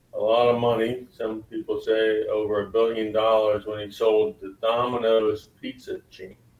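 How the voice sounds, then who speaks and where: The speaker talks at a moderate pace with hardly any pauses and monotone, flat intonation, over noticeable background noise. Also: man, medium pitch for a man, big swings in loudness. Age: 60s. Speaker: lawyer. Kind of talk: interview.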